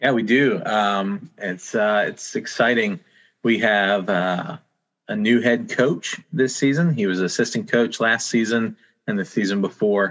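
A man speaks fairly slowly in a normal speaking voice with ordinary pitch variation. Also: medium pitch for a man. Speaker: assistant pastor and soccer chaplain. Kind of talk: casual group chat.

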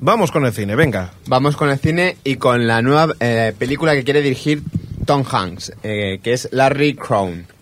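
Delivery comes at a fairly slow pace from a man at medium pitch. It is a plain, everyday voice. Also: lively intonation. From Catalonia, Vallès. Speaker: podcast co-host. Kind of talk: casual chat.

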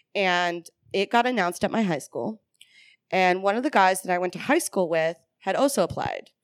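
A woman with an ordinary speaking voice talks at medium pitch with lively intonation, the sound dry and close with no echo in a very clean recording with a silent background. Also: moderate pace. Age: 30s. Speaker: comedian and military veteran. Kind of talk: casual chat.

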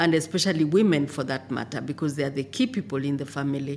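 A woman speaks with a Kenyan accent. Her voice is very deep and low. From Kenya, Maasai. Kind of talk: interview.

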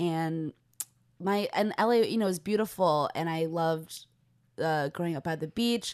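A woman with an American accent uses a normal speaking voice, fairly low in pitch, at a moderate pace with ordinary pitch variation against a quiet background. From US West Coast, Los Angeles. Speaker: comedian. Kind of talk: casual chat.

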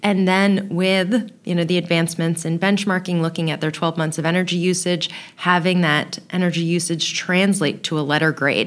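Moving at a moderate pace with hardly any pauses, a woman speaks in an unremarkable speaking voice at a fairly low pitch, her intonation fairly even. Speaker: building science trainer. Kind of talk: casual interview chat.

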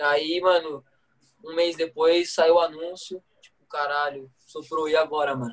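Monotone, flat intonation from a fairly high-pitched man, at a fairly slow pace with big swings in loudness. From Brazil, Guaratinguetá, São Paulo state. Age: 20s. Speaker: pro skateboarder. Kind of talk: casual chat.

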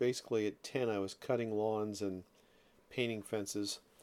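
A man's medium-pitched voice keeps a moderate pace and fairly even intonation. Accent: American. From South Jersey, US. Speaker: podcast host. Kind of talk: personal monologue. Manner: halting, with repeated words.

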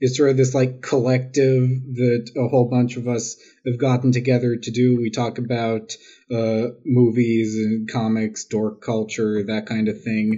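This voice has an American accent. It is a normal speaking voice. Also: man. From New York City, Queens. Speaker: writer and amateur historian. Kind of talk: casual chat.

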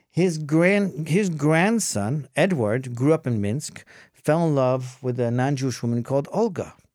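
In an unremarkable speaking voice, a man with a fairly high pitch talks at a fairly slow pace with lively intonation and hardly any pauses. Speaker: educator at a conversion organization. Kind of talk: interview.

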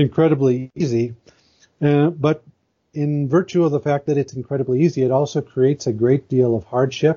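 This is a man with a medium pitch. His voice sounds somewhat breathy. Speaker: moral philosophy blogger. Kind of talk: interview. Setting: phone call.

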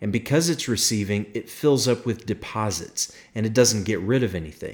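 Ordinary pitch variation in a normal speaking voice. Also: man. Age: 40s. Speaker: podcast host and pastor. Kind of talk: solo podcast monologue.

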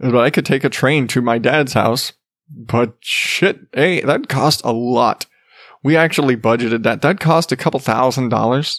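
A man with a Southwestern US accent, very even in loudness, with a dry, close sound and no echo. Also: medium pitch for a man, ordinary pitch variation, moderate pace, very clean recording, silent background. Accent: American (Southwest). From Arizona. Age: 30s. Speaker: podcast host. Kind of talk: casual monologue. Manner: halting, repeats words.

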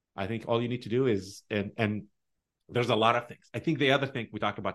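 A man speaking very fast with an Arabic accent. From Tunisia. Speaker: tech director. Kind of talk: casual interview.

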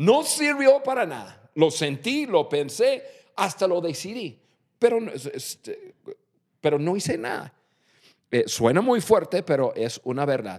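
Very wide pitch swings in a man's high voice, delivered at a fairly slow pace. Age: 50s. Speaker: podcast host, leadership coach. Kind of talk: casual chat. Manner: halting.

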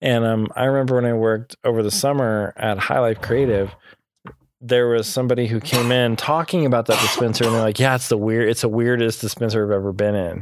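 A man speaks at a fairly quick pace in a medium pitch, with a plain, everyday voice. His loudness stays very even, and his intonation is fairly even. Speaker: podcast host. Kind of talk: casual chat.

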